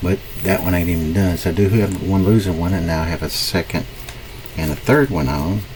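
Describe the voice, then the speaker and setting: Over noticeable background noise, a man with an American accent and a very deep, low pitch talks at a fairly quick pace with ordinary pitch variation. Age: 60s. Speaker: forex trader. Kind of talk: live-stream trading commentary. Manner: casual, thinking aloud.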